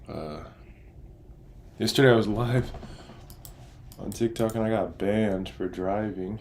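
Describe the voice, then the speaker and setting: A quiet man speaks at a fairly slow pace and a fairly low pitch. His intonation is fairly even, with long, frequent pauses. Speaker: day trader streamer. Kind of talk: live trading stream. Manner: casual.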